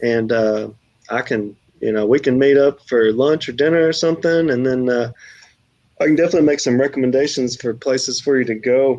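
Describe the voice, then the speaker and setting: A man with an American accent talks at a fairly quick pace and a medium pitch. His tone is dark and mellow, with ordinary pitch variation. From US South, Texarkana. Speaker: food challenge YouTuber. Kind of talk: casual livestream chat.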